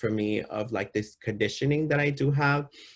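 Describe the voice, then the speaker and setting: A man's somewhat breathy voice. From US West Coast, East Side San Jose, California. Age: 30s. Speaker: poet and public speaker. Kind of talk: talk to students. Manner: casual, halting with repetitions.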